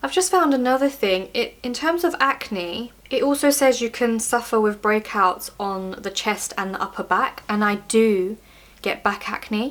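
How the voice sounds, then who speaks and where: Noticeable background noise sits behind a woman with a fairly high pitch. She talks at a fairly slow pace with lively intonation. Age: 30s. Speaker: beauty vlogger sharing personal health experience. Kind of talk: casual Q&A monologue to camera. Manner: casual, with fillers and self-corrections.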